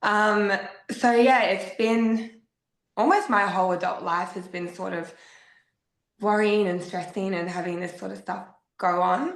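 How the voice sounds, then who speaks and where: A woman with an Australian accent, medium in pitch, fairly slow, with fairly even intonation and long, frequent pauses, in audible room echo. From South Australia, Adelaide. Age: 30s. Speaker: podcast guest sharing grief story. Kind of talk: personal testimony.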